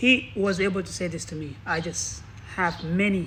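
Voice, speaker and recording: This man has a non-native accent and a high pitch. His intonation stays fairly even. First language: not English. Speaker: motivational speaker. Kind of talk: motivational talk. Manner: halting.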